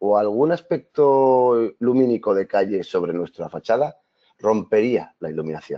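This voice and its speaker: This voice moves at a fairly slow pace with lively intonation. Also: man. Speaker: video mapping artist and presenter. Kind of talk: webinar presentation. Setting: online webinar.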